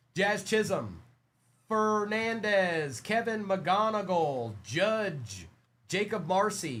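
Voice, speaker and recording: There is audible room echo as a man speaks in a high voice. His pace is very slow and his intonation lively. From South Africa. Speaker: trading card breaker, live seller. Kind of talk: live stream card break selling. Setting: live stream. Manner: animated.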